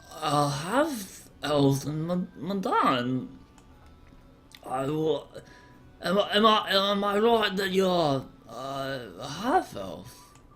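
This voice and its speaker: A man speaks at a very slow pace in a high pitch. He uses a put-on character voice. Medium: actual play. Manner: stammering, polite, bookish.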